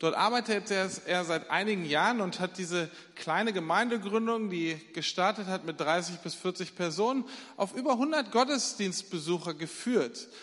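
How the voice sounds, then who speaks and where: A man speaks at a fairly slow pace in a high pitch, his pitch varying in an ordinary way. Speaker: church leader introducing the preacher. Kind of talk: introduction and prayer.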